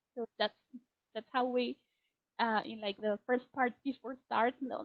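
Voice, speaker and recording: A female voice with a high pitch. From Colombia. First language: Spanish. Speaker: teacher trainer. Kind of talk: webinar presentation. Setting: online webinar.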